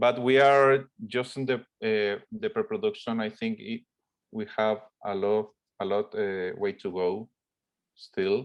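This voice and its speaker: With a Spanish accent, a man speaks at a very slow pace and medium pitch with fairly even intonation. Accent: Spanish-accented English, rough. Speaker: film director. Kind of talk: interview Q&A. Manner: halting, many fillers.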